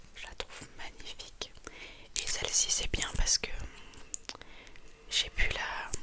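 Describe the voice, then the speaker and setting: A woman whispers at a very slow pace, with long, frequent pauses and big swings in loudness. Noticeable background noise runs underneath. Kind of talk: ASMR whisper presentation. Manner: whispered, soft-spoken.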